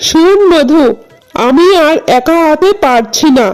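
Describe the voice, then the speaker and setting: A cartoonish character voice moves at a fairly slow pace as faint music plays in the background. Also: woman, high pitch for a woman. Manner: brusque, motherly.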